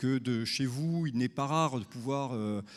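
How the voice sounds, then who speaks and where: A man at medium pitch in a southern French accent, with ordinary pitch variation, on a very clean recording with a silent background. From southern France. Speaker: tourism marketing speaker. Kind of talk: conference talk. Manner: hesitant, many fillers.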